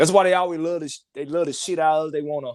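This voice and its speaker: A man's fairly high voice with a Mississippi accent and ordinary pitch variation. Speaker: caller. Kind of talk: casual call-in chat.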